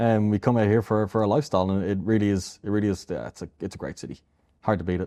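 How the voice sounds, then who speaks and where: Over a quiet background, a man talks very fast with an Irish accent. His voice is fairly low and dark and mellow in tone, with ordinary pitch variation. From Ireland, Dublin. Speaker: AI company founder. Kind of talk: interview. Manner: repetitive, many restarts.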